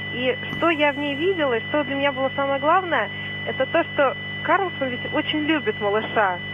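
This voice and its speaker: Noticeable background noise sits behind this recording. A woman speaks at a fairly quick pace. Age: young. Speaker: caller. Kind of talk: phone-in call. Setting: phone call.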